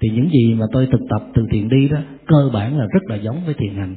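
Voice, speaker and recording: With ordinary pitch variation and a fairly quick pace, an unremarkable speaking voice delivers the words. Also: man. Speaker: Buddhist monk giving a Dharma talk. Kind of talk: Dharma lecture with Q&A. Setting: temple hall with audience.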